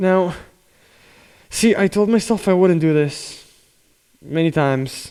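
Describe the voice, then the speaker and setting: Using a high pitch but a dark, mellow tone, a man speaks at a fairly slow pace with very even loudness. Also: ordinary pitch variation. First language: Spanish. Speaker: drummer and YouTuber. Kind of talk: casual talk to camera. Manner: unscripted, hesitant with fillers.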